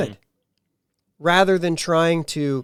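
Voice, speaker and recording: In a very clean recording with a silent background, a man with a Pittsburgh accent talks at a fairly slow pace. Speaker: podcast host. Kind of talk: casual podcast talk.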